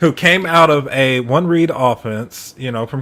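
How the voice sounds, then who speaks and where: A man with a medium pitch talks at a fairly slow pace, and his pitch varies in an ordinary way. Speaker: sports podcast co-host. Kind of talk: casual sports discussion. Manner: halting.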